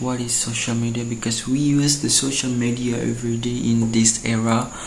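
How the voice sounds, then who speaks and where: With an Indonesian accent, a man speaks at a medium pitch and moderate pace in flat, monotone intonation, amid noticeable background noise and audible room echo. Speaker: university student. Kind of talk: student video presentation. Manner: halting.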